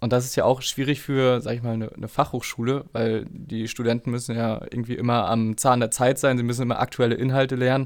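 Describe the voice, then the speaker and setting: In a very clean recording with a silent background, a man speaks in a monotone, flat intonation. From northeastern Germany, Schwerin. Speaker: podcast host. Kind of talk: interview.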